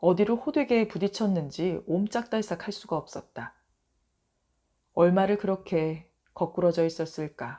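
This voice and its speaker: In a very clean recording with a silent background, a woman speaks at a fairly slow pace in a dark, mellow tone, her medium pitch carrying lively intonation between long, frequent pauses. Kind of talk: audiobook short story reading. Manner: soft, bedtime reading.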